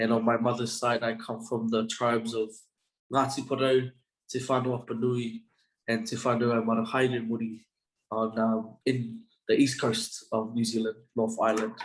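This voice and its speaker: Speaking at a moderate pace, a man holds a medium pitch with flat, monotone intonation. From Australia, Brisbane. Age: 20s. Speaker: university student. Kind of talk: interview.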